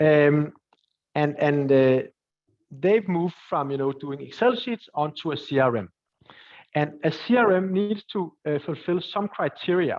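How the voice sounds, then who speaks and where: A man with a Danish accent speaks fairly slowly at a fairly high pitch, his intonation lively. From Denmark. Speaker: entrepreneur and angel investor. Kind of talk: webinar Q&A. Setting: live webinar. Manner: halting, many fillers and repetitions.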